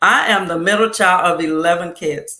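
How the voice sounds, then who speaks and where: With a Louisiana accent, a woman speaks in a fairly low, bright, sharp voice with ordinary pitch variation. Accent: Southern US (Louisiana). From US South, South Louisiana. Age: 60s. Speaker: talk show guest. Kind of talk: casual chat.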